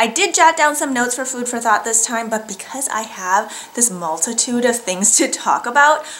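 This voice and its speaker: Her voice is warm and fairly high, and this woman talks with an American accent at a moderate pace with lively intonation. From US Midwest. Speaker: knitting and sewing vlogger. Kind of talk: casual vlog monologue. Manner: warm and chatty. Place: home room.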